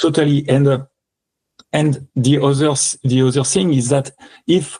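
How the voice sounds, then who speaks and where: A man speaks in a French accent at a moderate pace, his pitch fairly high. His voice is somewhat breathy, recorded dry and close with no echo. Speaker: electronic music composer and performer. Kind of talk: interview. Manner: halting.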